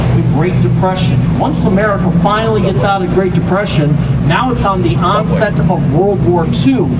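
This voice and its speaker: A man speaks at a moderate pace in a high pitch for a man. Room echo is audible and background noise is noticeable. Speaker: tour guide. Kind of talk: guided tour narration. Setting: outdoors on a tour boat. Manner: stumbling over words.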